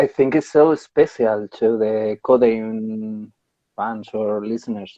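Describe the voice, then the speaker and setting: At a very slow pace, a man with a Spanish accent speaks in a medium pitch with fairly even intonation. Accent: Spanish accent, non-native English. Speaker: podcast host. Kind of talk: casual interview. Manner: halting, searching for words.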